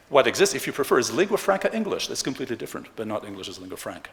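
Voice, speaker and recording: A man is speaking. He has a French accent. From Switzerland, Geneva (French-speaking). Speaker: economist, conference speaker. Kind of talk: plenary lecture. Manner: animated.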